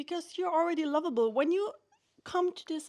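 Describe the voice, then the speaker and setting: A woman speaks with a non-native accent. Her pitch swings very widely. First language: not English. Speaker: vlogger. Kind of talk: casual monologue. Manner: unscripted, halting at times.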